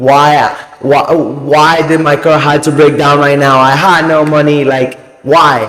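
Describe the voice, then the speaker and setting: Through audible room echo and noticeable background noise, a man with a Spanish accent speaks in a fairly high, monotone, flat voice. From Cuba. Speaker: motivational YouTuber. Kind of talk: casual motivational talk to camera. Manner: casual, halting with self-corrections.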